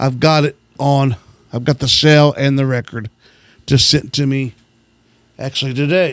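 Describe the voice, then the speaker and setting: At a fairly slow pace, a man speaks with a fairly high pitch and fairly even intonation, in a dry, close sound with no echo. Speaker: radio host who collects gospel records. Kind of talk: casual show-and-tell of record collection.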